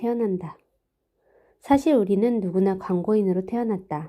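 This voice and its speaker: Her voice has a dark, mellow tone at a medium pitch, with ordinary pitch variation and a moderate pace. The woman is recorded very cleanly against a silent background. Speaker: amateur audiobook reader. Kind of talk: nonfiction audiobook reading. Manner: somewhat halting, hesitant.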